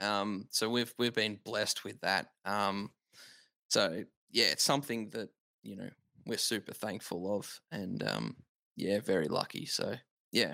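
Speaking fairly slowly with long, frequent pauses, a voice with an Australian accent has a bright, sharp tone, vocal fry and ordinary pitch variation, captured in a very clean recording with a silent background. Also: man, fairly low pitch for a man. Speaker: dad and podcast listener. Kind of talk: casual interview.

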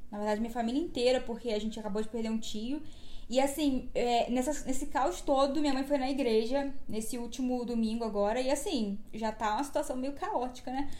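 Her voice is high in pitch with ordinary variation and a dark, mellow tone, as this woman speaks at a fairly quick pace in a room with audible echo. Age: 20s. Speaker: podcast host. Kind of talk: reading aloud; casual chat.

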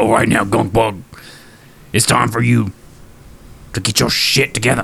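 In a put-on character voice, a man sounds raspy at a medium pitch. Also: moderate pace. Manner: scolding, stern.

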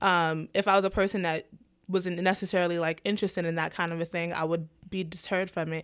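On a very clean recording with a silent background, a woman in a New York accent talks very fast at a fairly low pitch with monotone, flat intonation. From New York, the Bronx. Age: 20s. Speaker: first grade teacher. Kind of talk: casual chat.

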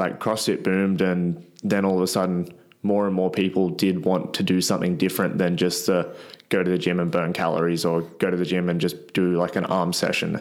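With an Australian accent, a man speaks at a fairly quick pace in a very deep, low pitch, his intonation monotone and flat. His loudness stays very even, and audible room echo surrounds him. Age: 20s. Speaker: gym owner and strongman athlete. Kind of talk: casual interview chat.

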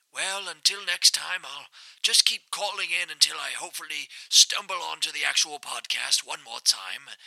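A man's high-pitched voice at a moderate pace. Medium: audio drama. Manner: formal, pompous, rambling.

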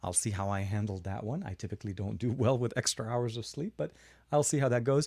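A man speaks at a very fast pace in a medium-pitched voice with a dark, mellow tone. His pitch varies in an ordinary way, and the recording is very clean with a silent background. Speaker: tech YouTuber. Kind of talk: livestream tech chat. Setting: home studio livestream. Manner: fast talker.

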